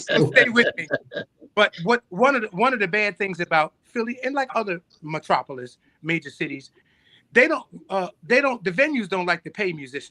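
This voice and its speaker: Recorded dry and close with no echo in a quiet background, a man speaks at a moderate pace in a raised, projected voice with a bright, sharp tone, his high pitch showing very wide swings. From US Northeast, North Philadelphia. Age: 60s. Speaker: musician. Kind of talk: casual chat. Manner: animated.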